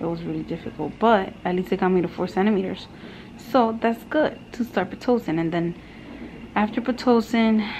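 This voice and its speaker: Light background noise sits behind a woman speaking fairly quickly with ordinary pitch variation. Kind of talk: casual vlog chat. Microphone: phone near.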